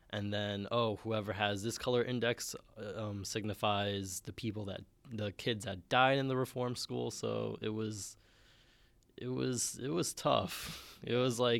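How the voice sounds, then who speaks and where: In a New York accent, a man speaks at a fairly slow pace with a fairly low pitch and ordinary pitch variation. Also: very clean recording, silent background. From Bronx, New York. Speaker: student co-host. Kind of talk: casual chat.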